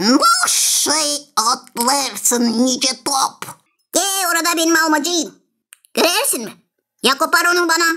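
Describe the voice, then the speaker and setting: A put-on character voice with a high pitch. It moves at a fairly slow pace, broken by long, frequent pauses. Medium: fan dub. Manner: eager, impatient.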